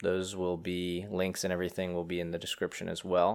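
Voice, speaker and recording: Very deep and low, a man's voice comes through on a very clean recording with a silent background. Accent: American. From Pennsylvania. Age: 30s. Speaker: podcast host. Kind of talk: casual chat.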